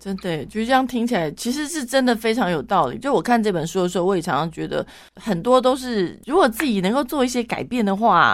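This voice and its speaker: Talking at a fairly quick pace, a woman with a fairly high pitch makes very wide pitch swings on a very clean recording with a silent background. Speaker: radio host. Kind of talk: radio interview. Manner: fast.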